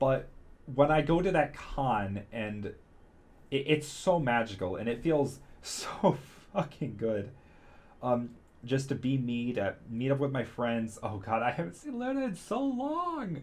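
A man speaks at a fairly slow pace in a somewhat breathy voice, with lively intonation and big swings in loudness. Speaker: vlogger. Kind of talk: casual vlog chat. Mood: excited, candid. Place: home room. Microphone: studio mic.

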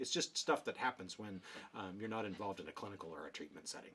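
A man talks at a very fast pace. His voice carries vocal fry. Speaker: behavior analysis educator. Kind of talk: casual explainer video. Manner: filler-heavy, many ums. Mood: wry, joking.

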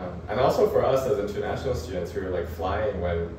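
Fairly quick and fairly even in intonation, a man speaks. Audible room echo and noticeable background noise surround him. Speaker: architecture graduate student, international student. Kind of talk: casual interview answer. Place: home room. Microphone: camera far.

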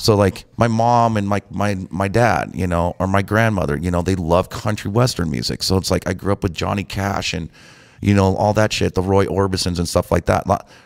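A man's very deep, low voice with ordinary pitch variation, fairly quick pace and a quiet background. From Montana, US. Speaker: DJ; guest. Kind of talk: casual chat. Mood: relaxed, reflective. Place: studio. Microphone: studio mic.

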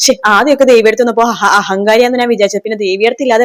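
A woman talks at a fairly high pitch in an ordinary speaking voice. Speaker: TV serial review YouTuber. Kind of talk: plot recap monologue.

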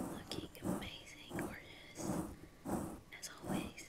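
Noticeable background noise fills the recording. Through it, a woman whispers. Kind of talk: ASMR roleplay, personal-attention makeup.

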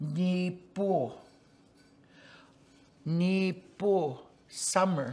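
The woman talking has a fairly low pitch. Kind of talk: teaching words with explanation. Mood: warm, joking. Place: home room.

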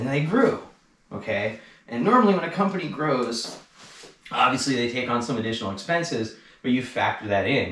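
Audible room echo surrounds the recording. A man speaks with lively intonation. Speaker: e-bike shop owner and industry commentator. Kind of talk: angry rant about the e-bike industry, delivered as a solo video monologue. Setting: garage, solo video. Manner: fired up and indignant, pushing each point hard; sarcastic and pointed, cutting in with laughs. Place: garage.

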